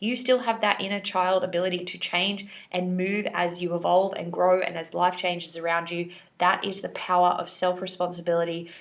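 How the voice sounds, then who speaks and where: A woman speaks at a moderate pace in a plain, everyday voice. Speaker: tarot reader. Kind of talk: tarot reading. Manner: casual.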